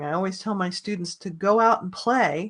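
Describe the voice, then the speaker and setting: A woman talks in an ordinary speaking voice at a medium pitch with ordinary pitch variation. Her pace is moderate, and the background is quiet. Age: 60s. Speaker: online business course creator. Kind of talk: webinar sales pitch. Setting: live online group video.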